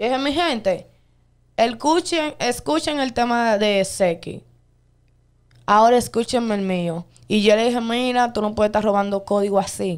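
Against a quiet background, a woman with a fairly high voice speaks at a moderate pace with lively intonation and long, frequent pauses. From Dominican Republic. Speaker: viral dancer and social media personality; interview guest. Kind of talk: interview. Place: studio. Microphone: studio mic.

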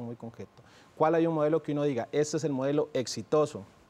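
Talking at a very fast pace, a man has a fairly high pitch. His tone is dark and mellow. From Costa Rica. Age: 30s. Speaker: presidential candidate; candidate. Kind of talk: TV interview. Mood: earnest, argumentative. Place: studio.

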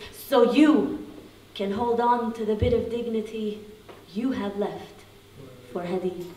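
Over light background noise and audible room echo, a woman speaks at a fairly slow pace and fairly high pitch with an intense tone, ordinary pitch variation, and long, frequent pauses. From Palestinian. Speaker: spoken word poet and activist. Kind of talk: poetry reading. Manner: intense, emphatic, repeated phrasing. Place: hall.

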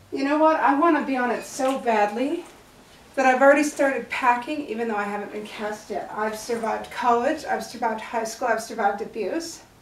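A woman's voice at a moderate pace, with ordinary pitch variation and strong room echo. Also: fairly high pitch for a woman.

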